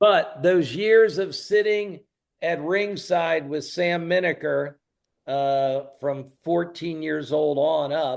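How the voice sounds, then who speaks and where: Here a man talks at a very slow pace with an American accent. His pitch is fairly high, with ordinary pitch variation. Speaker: wrestling announcer and promoter. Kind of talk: interview storytelling. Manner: animated.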